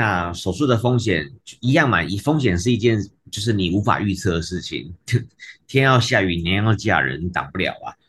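A man with a normal speaking voice talks at a moderate pace, his fairly low pitch carried by lively intonation. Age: 40s. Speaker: physical therapist and kidney patient. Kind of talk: interview conversation.

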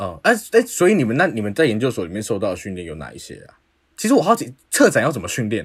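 On a very clean recording with a silent background, a man talks at a very fast pace with big swings in loudness. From Taiwan, Taipei. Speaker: podcast host. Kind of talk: casual interview.

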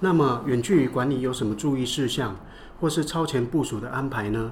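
A man speaks at a medium pitch with ordinary pitch variation. Noticeable background noise and audible room echo fill the recording. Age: 60s. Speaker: business owner. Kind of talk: scripted dialogue.

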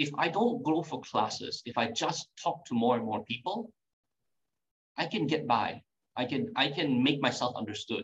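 The pitch swings very widely and the voice is somewhat breathy. Delivery moves at a moderate pace. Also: man, fairly high pitch for a man. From Singapore. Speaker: tango teacher. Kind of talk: casual interview.

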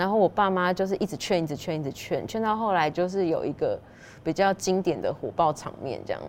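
A woman's medium-pitched voice at a fairly quick pace with ordinary pitch variation. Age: 40s. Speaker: pastry chef and shop owner. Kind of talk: interview storytelling. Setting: in a dessert shop.

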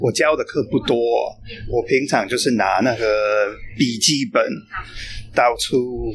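Speaking with an English accent, a man uses medium pitch, ordinary pitch variation and very even loudness. He goes at a very slow pace with long, frequent pauses, over noticeable background noise. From England. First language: English (speaking Chinese). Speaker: long-term expat, interviewee. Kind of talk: casual interview. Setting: cafe. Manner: halting, many fillers.

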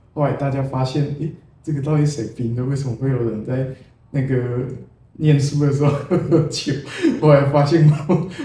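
Somewhat breathy and dark, mellow in tone, a man's medium-pitched voice moves at a moderate pace with ordinary pitch variation amid audible room echo. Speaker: poet. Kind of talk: casual interview.

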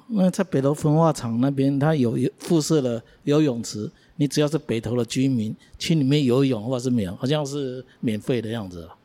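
On a very clean recording with a silent background, a man uses a normal speaking voice at medium pitch, with ordinary pitch variation and a moderate pace. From Taiwan, Beitou in Taipei. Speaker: local resident co-host. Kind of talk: casual chat.

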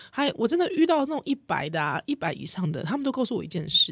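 Speaking at a fairly quick pace, a woman's voice shows vocal fry and very wide pitch swings. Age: 30s. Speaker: podcast host. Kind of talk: casual chat.

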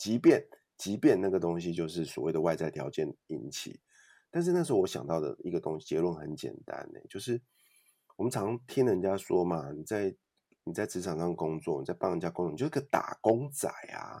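This man's voice has a very deep, low pitch and a dark, mellow tone. He talks at a fairly quick pace with lively intonation. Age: 40s. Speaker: author and podcaster. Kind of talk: interview.

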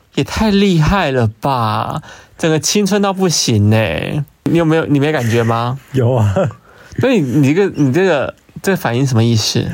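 At a moderate pace, a man talks with a fairly high pitch, very wide pitch swings and very even loudness. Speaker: podcast co-host. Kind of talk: casual chat.

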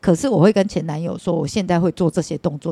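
A woman's very fast speech with vocal fry, a dark, mellow tone, fairly low pitch and ordinary pitch variation, in a dry, close sound with no echo. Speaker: hostess bar madam. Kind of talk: casual chat.

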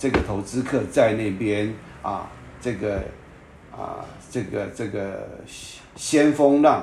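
A man with a fairly low pitch speaks very slowly, leaving long, frequent pauses, with ordinary pitch variation and audible room echo. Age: 60s. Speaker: podcast host, real estate commentator. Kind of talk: solo commentary monologue. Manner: halting, many filler particles.

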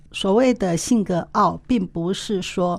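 At a very slow pace, a woman speaks at a medium pitch with vocal fry and ordinary pitch variation. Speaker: co-host, women's forum executive. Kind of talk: interview conversation.

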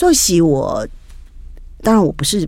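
Audible room echo surrounds this woman's voice. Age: 60s. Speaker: businesswoman, wife of a service club district governor. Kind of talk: interview.

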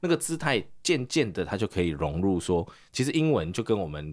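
A man speaks at a moderate pace in a very deep, low voice with very wide pitch swings. The recording is very clean, with a silent background. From Taiwan. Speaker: English teacher and podcaster. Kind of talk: casual interview.

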